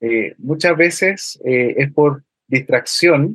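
This man talks very slowly. His voice sits fairly high and varies in pitch in an ordinary way. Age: 30s. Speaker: university lecturer and road safety educator. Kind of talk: radio interview.

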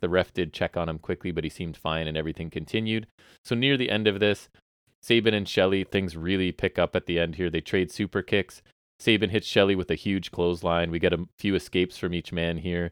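Speech comes at a fairly quick pace. The recording is very clean, with a silent background and a dry, close sound with no echo. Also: man. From Southern Ontario, Canada. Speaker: podcast host. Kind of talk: casual chat about wrestling. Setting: basement, recorded at home.

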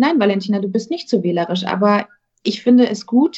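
This woman's voice sits at a medium pitch. It carries a somewhat breathy quality. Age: 20s. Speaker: actress. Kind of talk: casual chat.

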